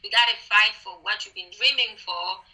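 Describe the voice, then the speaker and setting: The speaker has a non-native accent. The pace is fairly slow, with ordinary pitch variation. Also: woman. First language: not English. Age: young. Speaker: beauty queen. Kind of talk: interview. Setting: video call. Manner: halting.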